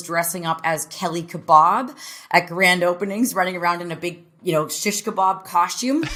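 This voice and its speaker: Speaking in a Canadian accent, a woman uses a plain, everyday voice at a medium pitch and a moderate pace. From Canada. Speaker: franchise business executive. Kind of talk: podcast interview.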